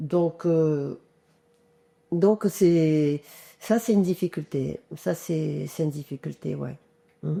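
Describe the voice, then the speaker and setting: A woman's very deep, low, dark and mellow voice at a very slow pace, with ordinary pitch variation and long, frequent pauses. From Comoros, raised in France (Drôme). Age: 60s. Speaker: singer-songwriter. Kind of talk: interview. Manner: hesitant, many fillers.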